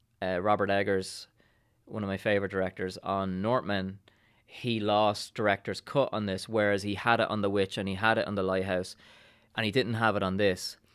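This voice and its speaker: Monotone and flat, a man with an Irish accent speaks at a moderate pace and fairly low pitch. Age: 40s. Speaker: actor and writer. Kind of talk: casual chat.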